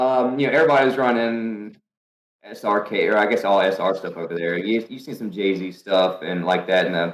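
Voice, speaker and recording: With a North Carolina accent, a man talks at a moderate pace in a fairly low pitch, using ordinary pitch variation. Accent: Southern US, North Carolina. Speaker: professional drifter. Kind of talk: podcast interview answer. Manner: casual, storytelling.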